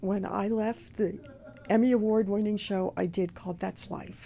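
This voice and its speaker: A woman with an American accent has a dark, mellow tone that is somewhat breathy. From US, Baltimore. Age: 80s+. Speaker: talk show host. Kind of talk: casual chat.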